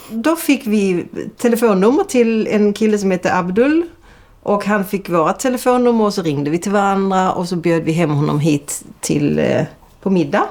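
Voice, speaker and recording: A woman with a Scanian accent talks at a moderate pace in a medium pitch, her intonation lively. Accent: southern Swedish dialect from Lund. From southern Sweden (Lund), early childhood in Denmark. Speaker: intensive care nurse. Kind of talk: documentary interview.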